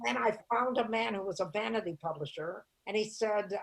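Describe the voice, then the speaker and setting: With vocal fry and lively intonation, a woman speaks at medium pitch. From US Midwest, Toledo, Ohio. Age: 80s+. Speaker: comedian. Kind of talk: interview storytelling.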